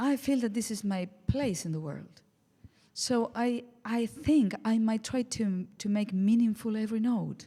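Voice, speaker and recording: Somewhat breathy and dark, mellow in tone, a woman with an Argentine accent speaks at a fairly slow pace with ordinary pitch variation. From Argentina, Buenos Aires. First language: Spanish. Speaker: jazz singer. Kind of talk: casual interview chat. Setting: radio studio, live session.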